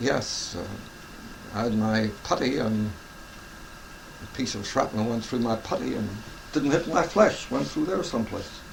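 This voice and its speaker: Fairly slow speech from a man at medium pitch, with very wide pitch swings and noticeable background noise. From England. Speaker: war veteran. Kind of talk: interview answer.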